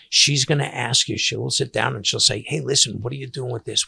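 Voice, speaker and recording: A man at a medium pitch speaks with vocal fry and an American accent, in a dry, close sound with no echo. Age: 60s. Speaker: seafood caterer and podcast host. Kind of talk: casual monologue podcast. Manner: halting, many fillers and restarts.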